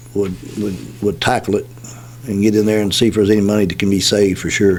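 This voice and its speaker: With a Kentucky accent and a fairly low pitch, a man speaks at a very fast pace amid noticeable background noise. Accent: Kentucky (US South). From Kentucky, Nelson County. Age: 60s. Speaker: political candidate. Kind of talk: radio interview. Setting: radio studio. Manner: halting, many fillers.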